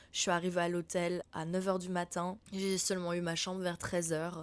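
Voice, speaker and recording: At a moderate pace, the voice stays monotone and flat in a very clean recording with a silent background. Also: woman. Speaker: podcast host, spiritual mentor. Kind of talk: casual chat. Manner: chatty, informal.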